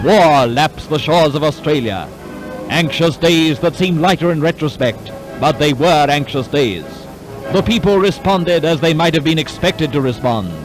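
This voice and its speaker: Music plays in the background as a man speaks with a fairly high pitch. His tone is dramatic. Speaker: newsreel narrator. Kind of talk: wartime newsreel narration.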